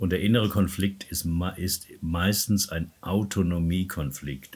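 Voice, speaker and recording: Speaking at a very slow pace, a man's voice comes through somewhat breathy. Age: 70s. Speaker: personal development coach and therapist. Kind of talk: interview.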